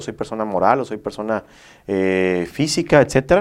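Against a quiet background, a man talks in an ordinary speaking voice at a moderate pace with lively intonation. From Mexico, Villahermosa, Tabasco. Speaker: mortgage broker. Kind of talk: interview, explanatory.

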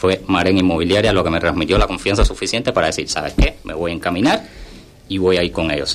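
Talking at a very fast pace, a man has a Cuban accent. His voice is very deep and low, with fairly even intonation. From Cuba, Havana. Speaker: content creator. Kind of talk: radio interview.

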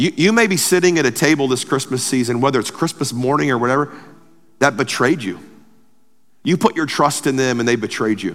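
With a normal speaking voice, a man at medium pitch talks at a fairly quick pace using lively intonation. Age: 40s. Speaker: pastor. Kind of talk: sermon.

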